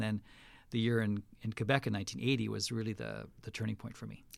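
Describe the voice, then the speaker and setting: A man with a western Canadian accent on a very clean recording with a silent background. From western Canada. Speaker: pastor. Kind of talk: casual interview. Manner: halting, with frequent fillers.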